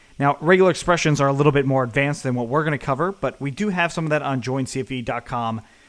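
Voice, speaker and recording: The speech races at a very fast pace with hardly any pauses and ordinary pitch variation. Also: man, fairly high pitch for a man. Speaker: coding instructor. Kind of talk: tutorial.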